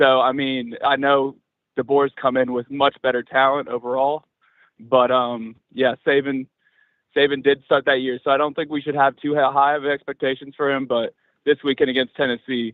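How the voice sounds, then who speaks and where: A man speaks at a medium pitch and a moderate pace. His intonation is flat and monotone. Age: young. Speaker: caller. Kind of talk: call-in radio talk.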